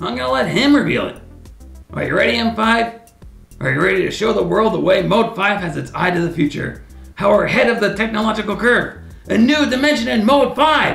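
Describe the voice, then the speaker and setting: Over faint music in the background, a put-on character voice with a fairly high pitch runs at a fairly quick pace. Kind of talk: comedy web series sketch. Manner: boastful, excitable.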